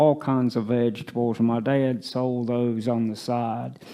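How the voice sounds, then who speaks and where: A man with a Tennessee accent at a very slow pace. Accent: Southern US (Tennessee). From US South, East Tennessee. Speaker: retirement community resident. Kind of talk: life story interview. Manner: halting.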